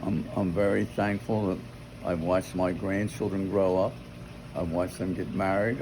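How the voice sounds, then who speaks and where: Very deep and low in pitch, a man talks at a moderate pace with an American accent and ordinary pitch variation. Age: 90s. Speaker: grandfather. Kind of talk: family chat. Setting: outdoors by a pool.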